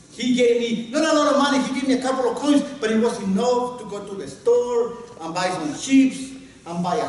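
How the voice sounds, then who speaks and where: A man with a Spanish accent and an extremely high pitch talks at a moderate pace with ordinary pitch variation, amid noticeable background noise and audible room echo. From Guatemala. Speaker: storyteller. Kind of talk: storytelling. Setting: workshop with audience.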